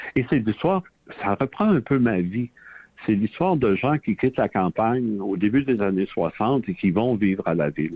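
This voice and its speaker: A man speaks in a Quebec accent. His intonation is lively. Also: fairly low pitch for a man, moderate pace. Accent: Québécois French. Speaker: novelist and retired history professor. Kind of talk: radio interview.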